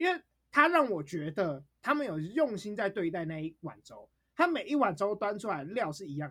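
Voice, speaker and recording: The speaker has a Taiwanese accent and an animated tone. The pace is moderate. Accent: Taiwanese Mandarin. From Taipei, Taiwan. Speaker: podcast co-host. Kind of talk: casual chat.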